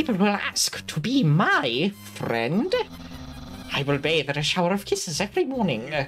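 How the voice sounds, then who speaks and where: A put-on character voice speaks at a middle pitch. Clear music plays in the background. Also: moderate pace. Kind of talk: reading game dialogue aloud in character. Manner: pompous, self-important.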